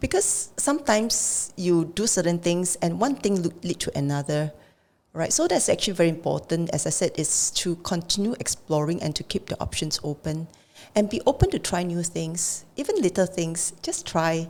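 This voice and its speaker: Talking at a moderate pace, a woman has an unremarkable speaking voice pitched fairly low. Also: ordinary pitch variation. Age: 60s. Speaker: financial adviser. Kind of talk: podcast interview answer.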